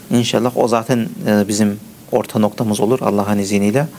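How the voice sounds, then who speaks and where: A man's medium-pitched voice, varying in an ordinary way, proceeds at a moderate pace. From Germany, Turkish family from Mersin. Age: 30s. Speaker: teacher of blind students, computer programmer. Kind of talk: interview. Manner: halting, many fillers.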